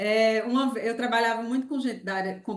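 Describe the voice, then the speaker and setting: With a Pernambuco accent, a woman speaks at a very fast pace in a fairly high pitch. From Pernambuco, Brazil. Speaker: university lecturer. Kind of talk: online lecture.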